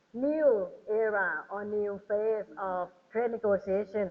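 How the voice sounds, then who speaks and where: A woman speaks with a Thai accent. Her voice is medium in pitch with ordinary variation. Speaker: government trade official, panelist. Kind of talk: panel talk. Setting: hotel ballroom seminar with audience. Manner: animated; hesitant, many fillers.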